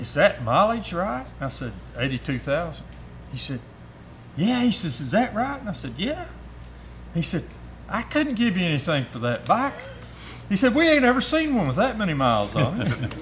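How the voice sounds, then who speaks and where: A man with an Appalachian accent and long, frequent pauses. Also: moderate pace. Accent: Southern US (Appalachian). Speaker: motorcycle rider. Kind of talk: storytelling. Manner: halting, many fillers.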